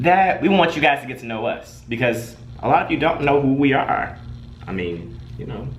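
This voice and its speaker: A man with an American accent, fairly high in pitch, in an animated tone with lively intonation, big swings in loudness and a moderate pace, amid noticeable background noise and audible room echo. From Detroit, US Midwest. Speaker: web show co-host. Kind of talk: casual chat.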